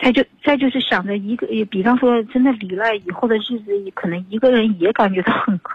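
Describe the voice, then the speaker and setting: A woman talks at a fairly quick clip with hardly any pauses, her pitch fairly high and her pitch variation ordinary. Noticeable background noise can be heard. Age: 50s. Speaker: caller seeking advice about unfaithful husband. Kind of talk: radio call-in advice conversation.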